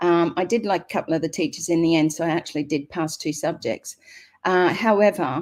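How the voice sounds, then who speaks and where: In a very clean recording with a silent background, a woman speaks with an Australian accent. Her pitch is fairly low, with ordinary pitch variation and a fairly quick pace. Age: 60s. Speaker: network marketing member. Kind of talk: interview. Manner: halting.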